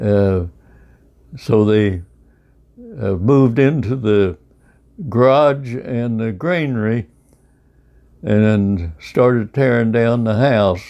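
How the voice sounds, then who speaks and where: A man with a rural Midwestern accent speaks very slowly in a dark, mellow tone, leaving long, frequent pauses against a quiet background. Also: medium pitch for a man, ordinary pitch variation. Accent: US Midwest, rural. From Kansas. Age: 80s+. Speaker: centenarian storyteller. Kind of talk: oral history interview. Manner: halting, many fillers.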